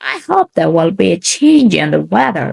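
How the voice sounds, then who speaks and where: A woman puts on a gruff character voice. She keeps a moderate pace. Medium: read story.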